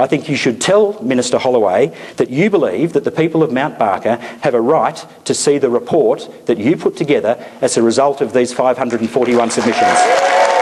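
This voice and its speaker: Over noticeable background noise, a man with a fairly high voice talks fairly quickly, keeping very even loudness while his pitch swings very widely. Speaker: politician. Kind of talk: public meeting speech.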